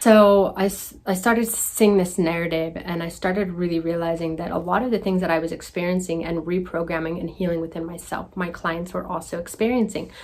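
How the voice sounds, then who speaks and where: Over noticeable background noise, a woman with a fairly low pitch talks at a fairly quick pace with hardly any pauses. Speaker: healing coach. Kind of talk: casual vlog monologue. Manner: quiet, soft-spoken; animated.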